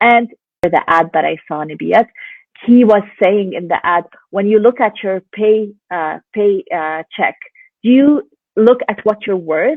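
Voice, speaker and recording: A woman in a Lebanese accent, medium-pitched, with lively intonation and a fairly slow pace. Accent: Lebanese Arabic accent, noticeable. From Lebanon. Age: 20s. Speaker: stay-at-home mom and online business owner. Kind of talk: interview. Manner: animated.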